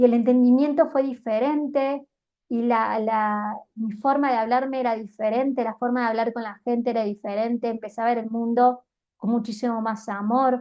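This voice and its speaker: A woman's fairly high, monotone, flat delivery in a Cordoban Argentine accent at a moderate pace. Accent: Argentine Spanish (Córdoba), voseo. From Argentina, Córdoba. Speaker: life coach and YouTuber. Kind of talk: motivational monologue.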